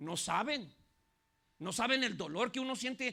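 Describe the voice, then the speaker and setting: A man with an animated tone talks at a fairly slow pace, his pitch swinging very widely. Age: 60s. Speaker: pastor. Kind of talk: sermon.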